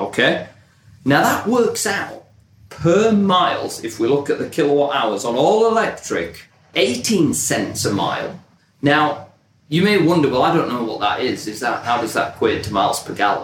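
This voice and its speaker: Speaking with a British accent, a somewhat breathy man swings his pitch very widely in a space with audible room echo. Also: fairly high pitch for a man, moderate pace. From Britain. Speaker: marketing professional and podcast host. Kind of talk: casual chat.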